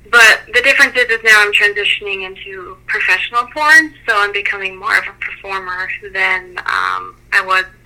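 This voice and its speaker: A woman's medium-pitched voice comes through over noticeable background noise. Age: 20s. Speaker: adult performer. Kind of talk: casual interview.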